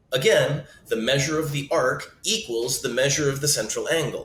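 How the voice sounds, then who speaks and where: A man speaks at a moderate pace. There is audible echo in the room. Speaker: math teacher. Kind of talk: tutorial.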